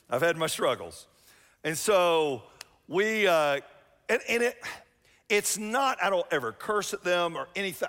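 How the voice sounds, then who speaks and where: A man with a Southern US accent, high-pitched and fairly slow, lively in intonation, on a very clean recording with a silent background. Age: 50s. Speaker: pastor. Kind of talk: sermon. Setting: church with live audience. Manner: loud.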